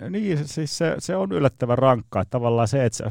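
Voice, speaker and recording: Set against a quiet background, a man with an unremarkable speaking voice talks at a moderate pace with ordinary pitch variation, the sound dry and close with no echo. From Finland. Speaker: Peking opera performer and director. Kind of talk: casual radio interview.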